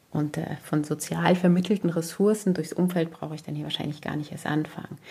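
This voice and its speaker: The woman's very deep, low pitch carries a dark, mellow tone, with vocal fry and fairly even intonation. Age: 40s. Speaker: parenting podcaster. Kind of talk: personal monologue.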